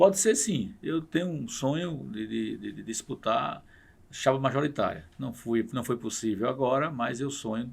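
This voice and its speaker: A man with vocal fry speaks at a fairly slow pace, his intonation lively. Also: medium pitch for a man. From Paraíba, Brazil (Pocinhos). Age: 60s. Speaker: state politician. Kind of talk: podcast interview.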